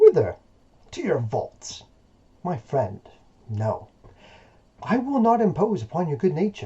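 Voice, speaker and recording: Putting on a character voice, a man speaks high and fairly slowly, leaving long, frequent pauses. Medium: read story.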